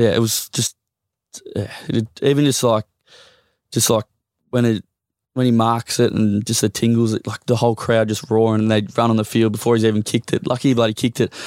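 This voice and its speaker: A man with an Australian accent, monotone and flat, with long, frequent pauses in a very clean recording with a silent background. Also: medium pitch for a man, fairly quick pace, dry, close sound with no echo. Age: 30s. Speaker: professional football player. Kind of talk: casual chat.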